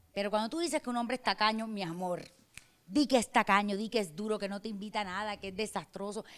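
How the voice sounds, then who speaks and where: A woman in an animated tone at a very fast pace, with a very clean recording and silent background. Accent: Barranquilla. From Colombian Caribbean coast, Barranquilla. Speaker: influencer, former carnival queen. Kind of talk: casual interview. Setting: restaurant in a hotel.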